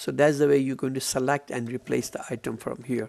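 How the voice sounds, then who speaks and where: With a plain, everyday voice, a man talks at a medium pitch with ordinary pitch variation. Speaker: software trainer. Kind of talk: tutorial.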